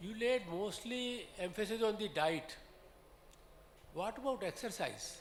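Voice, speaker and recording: A man at high pitch and a fairly slow pace, with ordinary pitch variation, long, frequent pauses and noticeable background noise. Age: 80s+. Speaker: audience member. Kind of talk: audience question.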